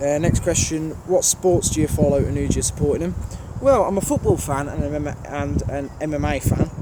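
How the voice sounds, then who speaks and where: Noticeable background noise fills the recording. Through it, a man talks very fast. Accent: strong Birmingham. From Birmingham, England. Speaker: train spotter YouTuber. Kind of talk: casual Q&A monologue. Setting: outdoors at a railway station.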